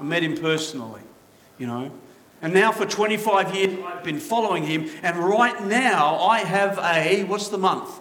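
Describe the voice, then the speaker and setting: Amid noticeable background noise and audible room echo, a man with a high pitch speaks at a fairly slow pace with lively intonation. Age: 50s. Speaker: pastor. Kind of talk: sermon.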